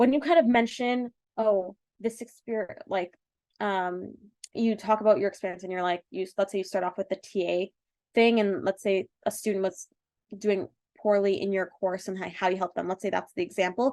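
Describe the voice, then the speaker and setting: A woman in a Canadian accent, medium pitch, ordinary pitch variation and a dry, close sound with no echo. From Canada (Toronto). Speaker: medical school admissions consultant. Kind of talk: webinar presentation. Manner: fast; halting with many fillers.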